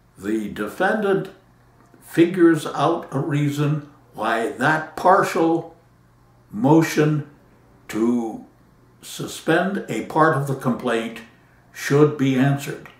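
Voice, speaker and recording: A somewhat breathy, fairly high male voice with lively intonation, at a very slow pace broken by long, frequent pauses. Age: 80s+. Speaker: patent attorney. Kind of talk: talk to camera.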